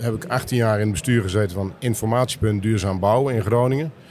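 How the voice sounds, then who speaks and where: A man speaks in a plain, everyday voice at a fairly quick pace. His pitch is fairly low, with ordinary variation. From Netherlands, Meppel (Drenthe). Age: 60s. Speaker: business developer in construction. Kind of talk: interview.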